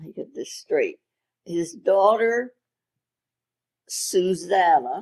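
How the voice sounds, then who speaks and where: A Maryland accent at a fairly slow pace, in a dry, close sound with no echo. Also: woman. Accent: Mid-Atlantic American (Maryland). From Maryland, Havre de Grace. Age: 90s. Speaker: retired radio station owner. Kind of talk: interview.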